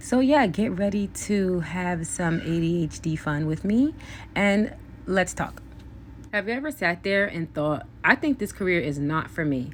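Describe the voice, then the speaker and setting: A woman speaks in a plain, everyday voice at a fairly low pitch. Her intonation is lively and her pace fairly slow. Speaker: beauty vlogger. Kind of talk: casual chat.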